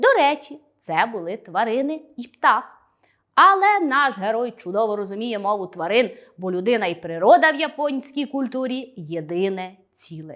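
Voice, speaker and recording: A woman with a fairly high pitch talks fairly slowly in an animated tone, her pitch swinging very widely and her loudness shifting a lot. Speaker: school teacher. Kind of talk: lesson.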